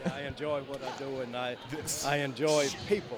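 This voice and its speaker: Against noticeable background noise, a man with a fairly high pitch speaks at a moderate pace and with fairly even intonation. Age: 60s. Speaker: minister. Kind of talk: interview. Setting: business expo floor.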